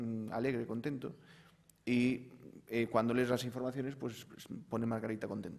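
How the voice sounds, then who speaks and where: Audible room echo surrounds a man who speaks at a moderate pace with monotone, flat intonation and long, frequent pauses. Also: medium pitch for a man. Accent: Galician. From Galicia, Spain. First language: Galician (speaking Spanish). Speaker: university professor. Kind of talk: panel discussion. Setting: conference panel.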